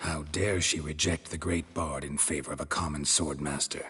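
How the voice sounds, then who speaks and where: Putting on a character voice, a man talks in a deadpan tone with a very deep, low pitch. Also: moderate pace. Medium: video game. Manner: terse, deadpan.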